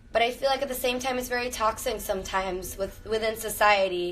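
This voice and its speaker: A woman with an American accent and a plain, everyday voice, fairly high in pitch, with ordinary pitch variation at a fairly quick pace. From Miami, Florida (born Venezuela, Cuban parents). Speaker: actress. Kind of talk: livestream casual chat. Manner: casual, filler-heavy.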